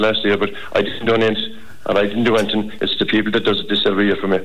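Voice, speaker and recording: In an Irish accent, a man talks with a flat, monotone delivery and fairly low pitch. Noticeable background noise runs under the recording. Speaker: charity fundraiser. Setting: phone call. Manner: formal.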